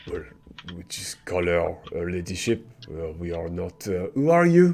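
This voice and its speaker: Fairly slow speech from a man in a put-on character voice with a very deep, low pitch. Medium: actual play. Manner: guarded.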